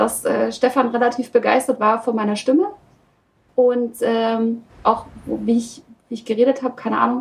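At a moderate pace, a woman talks with a high pitch and ordinary pitch variation. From Saxony, near Oschatz. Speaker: voice actor. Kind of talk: casual chat.

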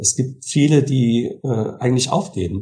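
A man talks at a moderate pace, his voice somewhat breathy. His tone is dark and mellow, with ordinary pitch variation. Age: 60s. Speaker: music school director and church organist. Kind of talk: interview.

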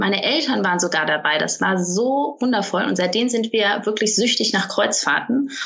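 Lively intonation at a moderate pace with very even loudness, over noticeable background noise. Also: woman, medium pitch for a woman, hardly any pauses. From Cologne, Germany. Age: 30s. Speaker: online marketing entrepreneur. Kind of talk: casual interview.

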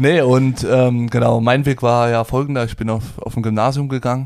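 Flat, monotone intonation at a moderate pace, with hardly any pauses. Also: man. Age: 20s. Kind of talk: casual chat. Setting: studio, sitting opposite co-host.

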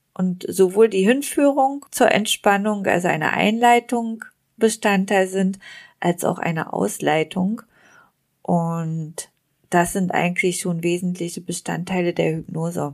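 On a very clean recording with a silent background, a woman in a plain, everyday voice talks at a fairly slow pace, medium in pitch with ordinary pitch variation. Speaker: hypnotist and podcast host. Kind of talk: guided imagery / dream journey narration. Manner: calm, slow, soothing, descriptive.

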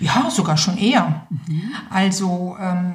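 A woman's somewhat breathy voice with audible room echo. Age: 50s. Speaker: nurse and end-of-life doula. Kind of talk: interview. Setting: studio.

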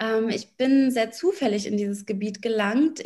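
A woman's somewhat breathy, fairly high voice with ordinary pitch variation and a fairly slow pace. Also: quiet background. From Berlin, Germany. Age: 30s. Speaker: lawyer and business coach. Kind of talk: interview.

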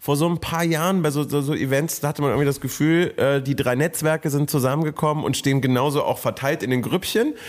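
A man talks very fast with hardly any pauses, his pitch fairly high and his intonation fairly even. His loudness stays very even, and there is noticeable background noise. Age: 30s. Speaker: content creator. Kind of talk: casual chat.

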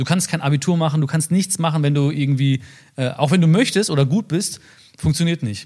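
Fairly quick delivery from a man, a normal speaking voice with fairly high pitch and ordinary pitch variation. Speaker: social media personality. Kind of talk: casual interview chat.

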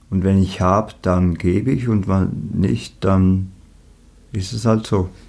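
A man speaks very slowly in a very deep, low pitch with a dark, mellow tone. His pitch variation is ordinary. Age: 20s. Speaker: musician with leukemia. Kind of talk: interview.

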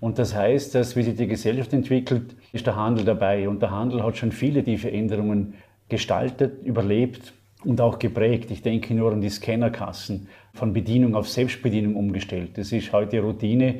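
At a moderate pace, a man speaks with a dark, mellow tone, medium pitch, fairly even intonation and a somewhat breathy quality. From Austria, Vorarlberg. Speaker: marketing lecturer and author. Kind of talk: interview.

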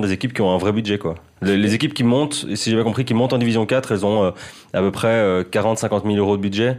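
Speaking at a very fast pace, a man leaves hardly any pauses. His loudness stays very even, with ordinary pitch variation. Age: 20s. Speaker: football journalist. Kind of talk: casual chat.

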